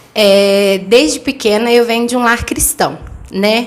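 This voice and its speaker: Her pace very slow, a woman talks with ordinary pitch variation. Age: 20s. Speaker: interview guest, mother and cleaning business owner. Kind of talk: testimony. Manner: direct.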